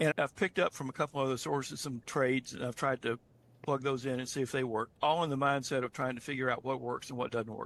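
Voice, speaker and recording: Very fast and medium-pitched, a man speaks in a dry, close sound with no echo. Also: fairly even intonation. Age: 70s. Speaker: retired beginner trader sharing experience. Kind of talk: online group call testimony. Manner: halting, with repetitions and fillers.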